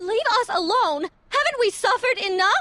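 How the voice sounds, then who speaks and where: Using a put-on character voice, a woman speaks in an extremely high, squeaky register. Her intonation is lively and her pace moderate. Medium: video game. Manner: fearful, weary.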